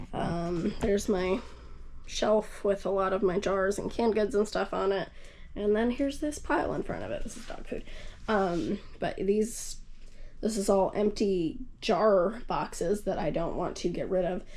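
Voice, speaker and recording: A woman speaks at a moderate pace in an ordinary speaking voice. Her pitch sits in the medium range, with ordinary variation. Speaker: homesteading vlogger. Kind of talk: casual home tour vlog. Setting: at home.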